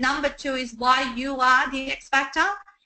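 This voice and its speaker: The voice is raised and projected. Its tone comes across bright and sharp. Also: woman. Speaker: business coach. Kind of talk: webinar presentation. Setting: online webinar. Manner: hesitant with many fillers.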